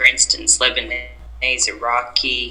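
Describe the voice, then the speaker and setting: Someone speaks with an Australian accent against noticeable background noise. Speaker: podcast guest, Arabic learner. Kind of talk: casual interview chat. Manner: hesitant, many fillers.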